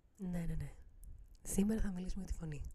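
Somewhat breathy and dark, mellow in tone, a woman speaks with lively intonation. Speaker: podcast host. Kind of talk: casual monologue.

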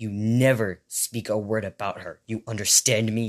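Growling in a put-on character voice, a man keeps a monotone, flat intonation at a medium pitch and moderate pace, recorded dry and close with no echo. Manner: threatening, angry.

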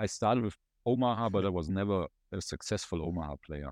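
A man with a German accent talks at a fairly quick pace, with vocal fry in his voice. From Germany. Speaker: former poker player and content manager. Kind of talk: casual interview.

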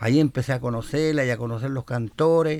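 A very clean recording against a silent background, its pitch variation ordinary. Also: man. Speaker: cueca singer and composer. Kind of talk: interview. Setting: studio.

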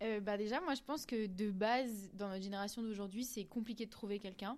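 A woman speaks in a fairly high voice. Her intonation is monotone and flat. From rural France. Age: 20s. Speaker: fashion industry worker. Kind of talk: interview. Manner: hesitant with fillers.

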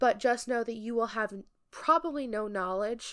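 In an ordinary speaking voice, a woman with a fairly high pitch talks at a fairly slow pace, recorded very cleanly against a silent background. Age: 20s. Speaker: podcast co-host. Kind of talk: casual chat.

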